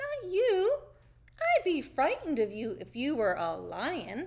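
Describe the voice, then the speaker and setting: A woman uses a put-on character voice at an extremely high pitch. It sounds squeaky and moves at a fairly slow pace. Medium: read story.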